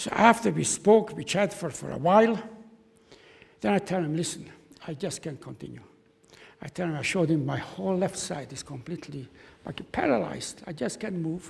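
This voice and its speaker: With lively intonation and a high pitch, a man talks at a fairly quick pace. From Czechoslovakia. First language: German. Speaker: Holocaust survivor. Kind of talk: testimony. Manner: halting.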